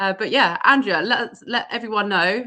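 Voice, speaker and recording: A woman with an English accent at a moderate pace. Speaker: events professional and live show host. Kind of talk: casual live-stream chat. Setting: live video stream. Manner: energetic.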